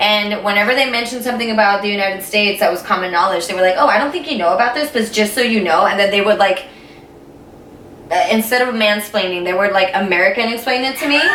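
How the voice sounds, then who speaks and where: A woman with a Spanish accent talks at a very fast pace, with audible room echo and noticeable background noise. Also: medium pitch for a woman, ordinary pitch variation. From Puerto Rico. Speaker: YouTuber. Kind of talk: casual chat.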